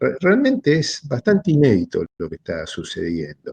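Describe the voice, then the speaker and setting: A man speaks with a dry, close sound that carries no echo. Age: 60s. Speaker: philosophy lecturer. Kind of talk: seminar talk.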